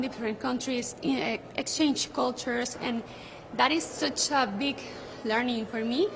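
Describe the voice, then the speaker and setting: High-pitched woman at a moderate pace, with ordinary pitch variation over noticeable background noise. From Venezuela. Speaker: beauty pageant contestant. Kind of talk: interview.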